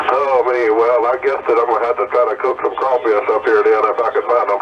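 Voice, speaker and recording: Fairly quick speech with hardly any pauses and noticeable background noise. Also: man, very even loudness. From Louisiana. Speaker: CB radio operator. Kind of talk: radio chat. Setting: CB radio.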